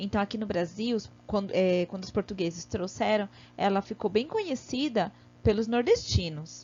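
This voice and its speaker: This woman's voice sits at a fairly high pitch. She speaks at a fairly slow pace. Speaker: primary school teacher. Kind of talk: online lesson for children.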